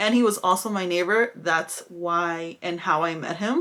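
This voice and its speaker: A woman with an ordinary speaking voice talks fairly slowly at a medium pitch with ordinary pitch variation. The recording is very clean, its background silent. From California (moved from Mexico at seven). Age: 20s. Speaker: beauty vlogger. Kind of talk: casual get-ready-with-me vlog chat. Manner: casual, chatty.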